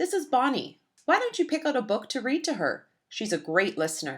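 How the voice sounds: A woman's put-on character voice, fairly high with a slightly husky edge, very wide pitch swings and a fairly quick pace, on a very clean recording with a silent background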